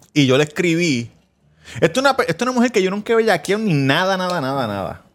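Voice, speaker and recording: Talking at a very fast pace, a man with a high voice makes very wide swings in pitch. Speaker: podcast host. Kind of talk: casual chat.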